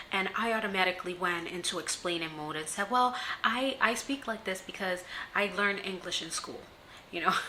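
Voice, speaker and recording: Against noticeable background noise, a woman speaks at medium pitch with ordinary pitch variation. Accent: slight non-native. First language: not English. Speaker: self-empowerment vlogger. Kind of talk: casual vlog talk to camera. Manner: hesitant, many fillers.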